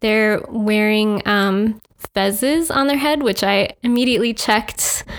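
Fairly slow, fairly high-pitched woman with an American accent, ordinary pitch variation and very even loudness. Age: 20s. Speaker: artist. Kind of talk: interview. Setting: studio. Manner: halting, many fillers.

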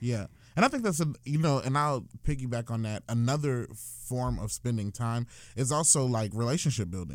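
A man talks in an unremarkable speaking voice at a medium pitch. His pace is moderate, with ordinary pitch variation. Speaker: podcast co-host. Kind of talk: casual chat.

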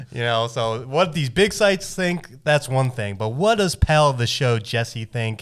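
A man with an unremarkable speaking voice talks at a fairly slow pace, at a medium pitch. His intonation is lively, and he hardly pauses at all. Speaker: podcast host. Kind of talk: casual chat.

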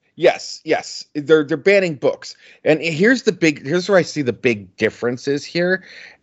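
A man talks in a normal speaking voice, fairly high in pitch. His intonation is lively and his pace moderate. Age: 40s. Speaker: podcast co-host, album reviewer. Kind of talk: casual chat.

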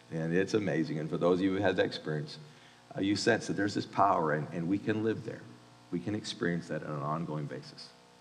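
Against noticeable background noise and audible room echo, a man with a very deep, low pitch talks at a very fast pace with ordinary pitch variation. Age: 50s. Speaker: university chapel speaker, pastor. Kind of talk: sermon.

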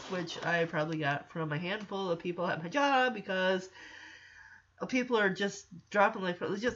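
A woman with fairly low pitch, a fairly bright tone and fairly even intonation. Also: moderate pace.

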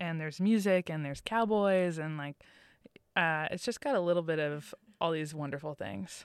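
A woman talks at a moderate pace in a normal speaking voice with a fairly low pitch. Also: lively intonation, very clean recording, silent background. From Massachusetts. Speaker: recent theater graduate. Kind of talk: interview. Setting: studio.

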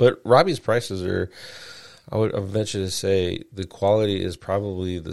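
This is a man talking. The rise and fall of his voice stays fairly flat. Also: very clean recording, silent background. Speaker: SEO show host. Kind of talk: solo live show monologue. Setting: live stream.

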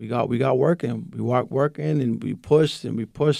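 A man with a Boston accent talks in a dark, mellow tone. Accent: Boston-area American English. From Lynn, Massachusetts. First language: Spanish. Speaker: high school basketball coach. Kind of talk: casual interview. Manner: laughs often.

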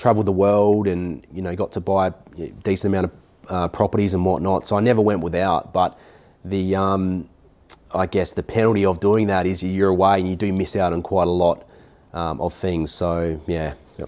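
With an Australian accent, a man speaks at a very deep, low pitch in a dark, mellow tone, his intonation fairly even and his pauses long and frequent. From South Australia, rural south coast near Adelaide. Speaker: buyer's agent, former electrician. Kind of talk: interview. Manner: halting, frequent repetitions.

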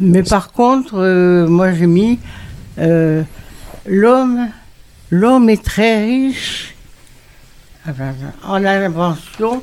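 Over noticeable background noise, a woman with a medium pitch speaks very slowly with lively intonation and very even loudness, leaving long, frequent pauses. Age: 80s+. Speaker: retirement home resident. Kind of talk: radio discussion. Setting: radio studio in retirement home.

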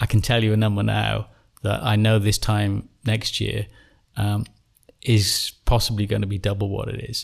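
At a moderate pace, a man speaks in an English accent. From England. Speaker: company founder. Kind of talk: interview. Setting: in person at company headquarters.

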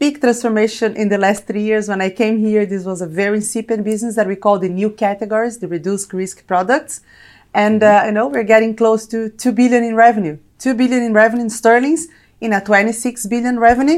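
Speaking at a very fast pace with a Brazilian accent, a woman uses a fairly high pitch and ordinary pitch variation. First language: Portuguese. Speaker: corporate technology executive. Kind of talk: interview.

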